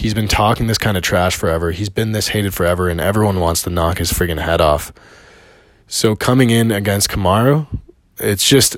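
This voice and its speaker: A man talks at a fairly quick pace with a Canadian accent, his pitch fairly low. He has an ordinary speaking voice with ordinary pitch variation. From Canada. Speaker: personal trainer and MMA fan commentator. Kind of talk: solo video monologue, fight analysis. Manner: casual, with frequent fillers.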